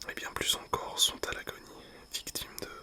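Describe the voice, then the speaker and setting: A whisper above noticeable background noise. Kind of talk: whispered book reading. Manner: whispered.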